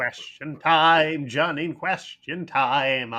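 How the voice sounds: Using a put-on character voice, a man projects loudly at a very slow pace, his pitch fairly high and his intonation fairly even.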